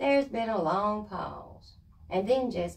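Speech in a natural reading voice.

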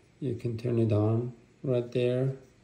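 A man talks at a fairly slow pace in a medium pitch, his tone dark and mellow. There is audible room echo, and his pitch moves very little.

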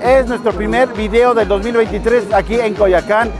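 Clear music plays behind a man whose pitch is extremely high. The sound is dry, with no echo. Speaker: comedic vlogger host. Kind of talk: casual vlog chat. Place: street. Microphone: lapel.

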